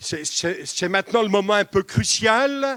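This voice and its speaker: A man with a high voice speaks at a very slow pace with lively intonation. The sound is dry and close, with no echo. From eastern France. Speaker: pastor. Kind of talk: sermon. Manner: hesitant with repetitions.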